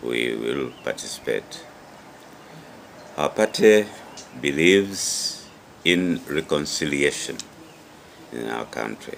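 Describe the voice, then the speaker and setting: A man talks at a very slow pace with a very deep, low pitch and lively intonation. Long, frequent pauses, big swings in loudness and noticeable background noise run through the clip. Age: 70s. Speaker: politician. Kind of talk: interview statement. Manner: hesitant, with many fillers.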